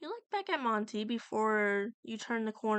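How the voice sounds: Over a quiet background, a natural reading voice rises and falls with ordinary pitch variation.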